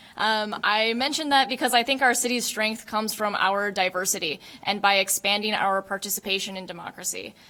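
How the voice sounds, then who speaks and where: The speech moves at a fairly quick pace with hardly any pauses. Pitch variation is ordinary. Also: woman, medium pitch for a woman. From Japanese American. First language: not English. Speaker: political candidate. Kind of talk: candidate forum statement.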